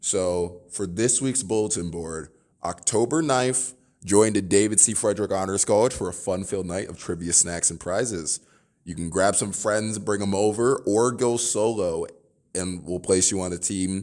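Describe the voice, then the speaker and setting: On a very clean recording with a silent background, an unremarkable speaking voice holds a moderate pace and ordinary pitch variation. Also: man, fairly low pitch for a man. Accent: American. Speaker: student podcast host. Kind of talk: podcast interview.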